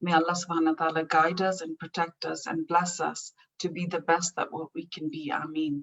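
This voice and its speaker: A woman with a Pakistani accent, fairly low-pitched, fairly quick, and monotone with flat intonation. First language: Urdu. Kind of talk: prepared speech. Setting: online event.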